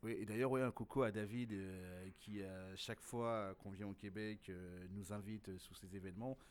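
This man speaks at a moderate pace with a fairly low pitch and fairly even intonation. He has a normal speaking voice. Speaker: slam poet and event organizer. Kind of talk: casual interview.

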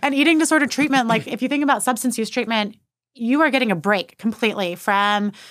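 A woman's unremarkable speaking voice with an American accent, fairly high in pitch with ordinary pitch variation, at a fairly quick pace in a very clean recording with a silent background. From Texas (Austin, New Braunfels). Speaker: therapist and eating disorder specialist. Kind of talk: interview testimony.

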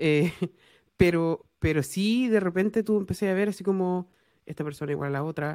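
In a very clean recording with a silent background, a woman speaks with a Chilean accent and ordinary pitch variation. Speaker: podcast host and engineering lecturer. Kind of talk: casual interview chat.

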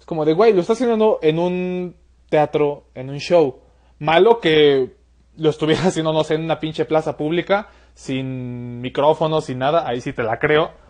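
A man speaks in a normal speaking voice, pitched fairly high. His pace is moderate, with ordinary pitch variation. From Mexico City. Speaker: podcast host. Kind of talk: casual interview.

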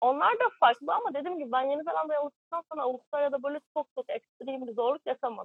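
This woman talks at a very fast pace with hardly any pauses. Her high voice has lively intonation. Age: 20s. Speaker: working holiday traveler. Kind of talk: interview. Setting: remote live broadcast from caravan park.

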